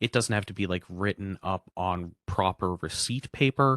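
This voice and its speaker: Against a quiet background, a man talks at a fairly low pitch in a dry, close sound with no echo. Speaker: housing information presenter. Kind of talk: information session presentation. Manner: fast.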